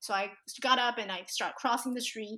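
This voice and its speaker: A bright, sharp tone at a fairly quick pace, with ordinary pitch variation. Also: woman. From Taiwan. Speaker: life coach. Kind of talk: interview conversation.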